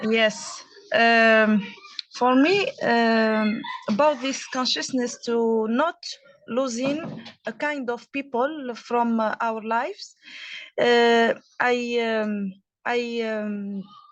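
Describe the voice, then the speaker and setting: A woman's fairly high voice with a non-native accent, very slow and fairly even in intonation, with long, frequent pauses. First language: not English. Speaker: workshop participant. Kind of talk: group discussion. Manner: halting.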